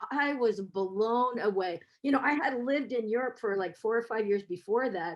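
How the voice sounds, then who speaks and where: A woman with an American accent speaks at a fairly high pitch, with ordinary pitch variation and hardly any pauses. It is an unremarkable speaking voice. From US, San Francisco. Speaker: professor. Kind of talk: webinar talk.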